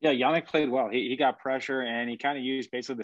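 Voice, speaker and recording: With a quiet background and a dry sound with no echo, a man talks at a very fast pace with fairly even intonation. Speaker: podcast co-host. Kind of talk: sports podcast discussion. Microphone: video call.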